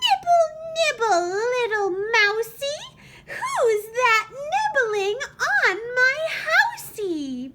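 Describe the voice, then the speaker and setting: A woman puts on a squeaky, shrill character voice at an extremely high pitch. She speaks at a very slow pace. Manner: sing-song taunting.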